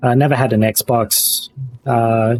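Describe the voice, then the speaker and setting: A man speaks at a very slow pace with monotone, flat intonation. The sound is dry and close with no echo, and music plays in the background. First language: not English. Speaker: streamer. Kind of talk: casual chat.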